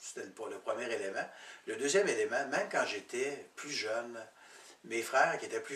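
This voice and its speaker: A man's fairly quick speech plays out against noticeable background noise. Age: 60s. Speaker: program participant. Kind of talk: testimony. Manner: halting.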